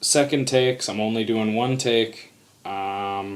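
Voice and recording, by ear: Natural-voiced reading aloud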